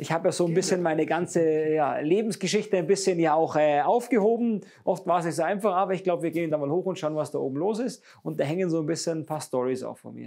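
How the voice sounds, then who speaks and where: A man's high-pitched, dark, mellow voice at a very fast pace, with a quiet background. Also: ordinary pitch variation. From Bavaria, Munich area; Bavaria. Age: 30s. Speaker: speedway racer; interviewee. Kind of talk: interview. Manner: halting. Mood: cheerful, animated. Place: workshop. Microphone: lapel.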